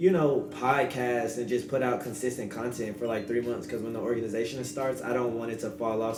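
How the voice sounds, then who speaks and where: A man with a medium pitch talks at a very fast pace with hardly any pauses. Audible room echo and noticeable background noise fill the recording. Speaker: podcast host. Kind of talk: solo podcast monologue.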